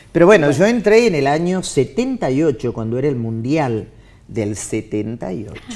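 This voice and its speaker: A woman's very deep, low voice with a dark, mellow tone, a moderate pace, very wide pitch swings and big swings in loudness. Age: 60s. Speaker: TV and radio announcer. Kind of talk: casual chat.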